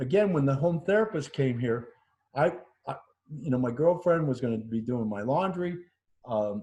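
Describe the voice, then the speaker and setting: Somewhat breathy, a man speaks at a fairly high pitch with a dark, mellow tone. His pace is moderate. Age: 60s. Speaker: COVID-19 survivor. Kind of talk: interview testimony. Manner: halting.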